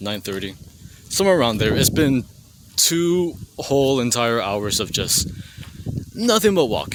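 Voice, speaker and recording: A man speaks at a moderate pace in a medium pitch, his voice swinging very widely in pitch. Long, frequent pauses break up his speech over noticeable background noise. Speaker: vlogger. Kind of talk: casual vlog.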